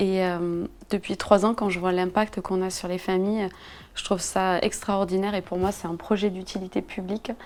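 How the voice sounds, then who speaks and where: Monotone, flat intonation at a moderate pace. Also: woman, medium pitch for a woman. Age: 30s. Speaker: entrepreneur. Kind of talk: interview. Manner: hesitant, many fillers.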